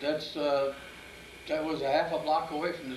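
A man's fairly high-pitched voice with light background noise and audible room echo. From US Midwest. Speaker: grandfather telling life story. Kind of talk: interview answer. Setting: home video interview. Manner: slow, halting, with repeated words and fillers. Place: home room. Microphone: old recording.

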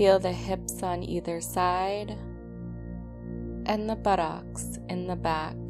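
A woman's calm tone at a very slow pace, with hardly any pauses and music in the background. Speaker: meditation guide. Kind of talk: guided sleep meditation. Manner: slow, calm.

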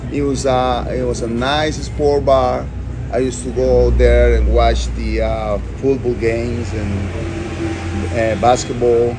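A man at a fairly slow pace, with noticeable background noise. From Costa Rica. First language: Spanish. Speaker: restaurant owner. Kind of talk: interview. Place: cafe. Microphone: phone near.

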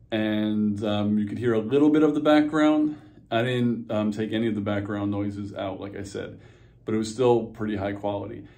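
An ordinary speaking voice from a man with a fairly low pitch and ordinary pitch variation. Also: moderate pace. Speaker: gear reviewer vlogger. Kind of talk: casual vlog chat. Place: home room. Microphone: phone near.

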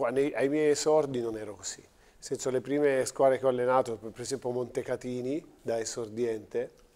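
His tone is dark and mellow. The man keeps a moderate pace with fairly even intonation. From Teramo, central Italy; central Italy. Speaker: basketball coach. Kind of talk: TV studio interview. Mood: calm, thoughtful. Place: studio. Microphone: lapel.

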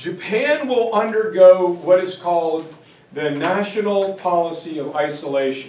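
A man speaks with lively intonation. Audible room echo surrounds his voice. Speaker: teacher giving lecture. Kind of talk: lecture. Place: classroom. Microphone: camera far.

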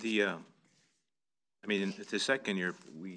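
A man with an American accent speaks at a moderate pace in a bright, sharp tone. His intonation stays fairly even over light background noise. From US Midwest. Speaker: city council member; council member or city official. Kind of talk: council meeting discussion. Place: meeting room.

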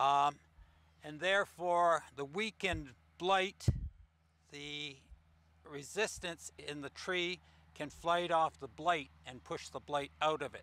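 A man's bright, sharp tone at a slow pace. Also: fairly high pitch for a man, ordinary pitch variation.

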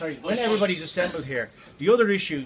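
With lively intonation, a man talks as noticeable background noise carries on behind him. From Ireland. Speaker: protest organiser. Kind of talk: announcement to a protest crowd. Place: hall. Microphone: phone near.

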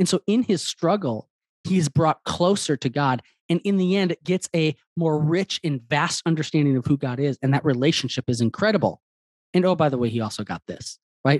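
A man's fairly high pitch at a fairly quick pace, lively intonation, dry sound with no echo and a quiet background. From Wisconsin. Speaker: author; interview guest. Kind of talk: interview. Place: home room. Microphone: studio mic.

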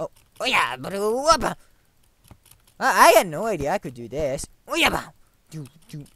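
With a bright, sharp tone and vocal fry, a woman of medium pitch speaks with very wide pitch swings. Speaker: gaming video creator. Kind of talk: let's play commentary. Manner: animated.

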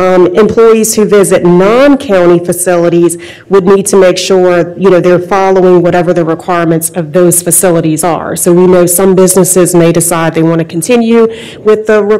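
This woman has an unremarkable speaking voice with a fairly low pitch. She keeps a moderate pace and fairly even intonation. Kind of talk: policy briefing presentation. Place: hall. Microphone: podium.

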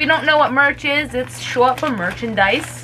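A woman's high-pitched voice at a moderate pace, ordinary pitch variation, light background noise. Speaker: YouTuber. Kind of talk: casual talk to camera. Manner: upbeat, excited. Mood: excited, delighted. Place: home room. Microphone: phone near.

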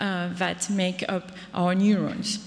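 A woman's voice over noticeable background noise. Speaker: neuroscientist. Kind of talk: conference presentation. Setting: stage with audience.

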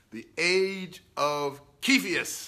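Speaking at a very slow pace, a man has a fairly high pitch and a bright, sharp tone. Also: ordinary pitch variation.

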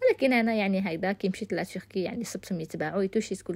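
A woman has an ordinary speaking voice at a medium pitch with ordinary pitch variation. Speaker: cooking youtuber. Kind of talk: cooking tutorial. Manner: casual.

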